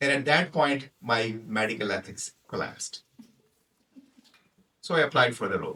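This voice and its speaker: A man with a Punjabi accent speaks in a bright, sharp tone at a fairly high pitch with ordinary variation, leaving long, frequent pauses. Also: moderate pace. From Pakistan. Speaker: toastmaster speaker, physician. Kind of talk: prepared humorous speech.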